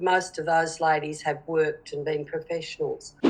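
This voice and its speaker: With noticeable background noise behind her, a woman speaks at a moderate pace in a fairly low voice with fairly even intonation. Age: 60s. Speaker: interviewee. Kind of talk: street interview. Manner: halting.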